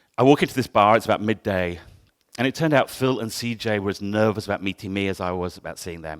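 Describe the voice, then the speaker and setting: The pace is fairly quick, in a southern English accent. It is a very clean recording with a silent background. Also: man. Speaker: photographer. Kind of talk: talk to an audience. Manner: loud.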